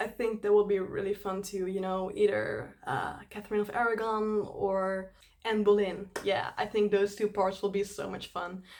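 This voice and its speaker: A woman speaks with a Dutch accent and hardly any pauses. Her intonation is monotone and flat, with noticeable background noise. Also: medium pitch for a woman, moderate pace. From Netherlands. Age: 20s. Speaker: YouTube cover singer. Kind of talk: casual Q&A chat to camera.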